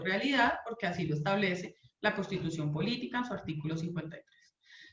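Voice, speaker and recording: A woman speaks at a fairly quick pace with lively intonation, and audible room echo surrounds her voice. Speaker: labor lawyer. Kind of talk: legal talk / online lecture.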